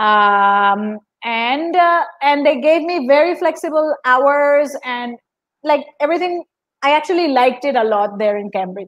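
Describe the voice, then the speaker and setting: A woman talks at a fairly slow pace, her high voice carrying lively intonation. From Colombia. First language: Spanish. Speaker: classical dancer and Spanish teacher. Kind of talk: interview conversation. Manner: halting, many repetitions and fillers.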